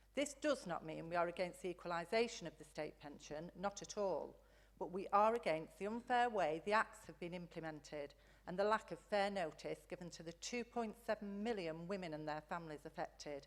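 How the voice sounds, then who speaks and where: The woman has a Lancashire accent and a medium pitch. She talks at a fairly quick pace with ordinary pitch variation. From northern England, Blackpool. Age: 60s. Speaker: campaigner speaking at council meeting. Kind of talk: prepared public statement.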